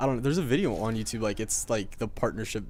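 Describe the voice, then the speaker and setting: This man's voice sits fairly low. The intonation is fairly even throughout. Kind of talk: video game commentary. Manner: casual, rambling.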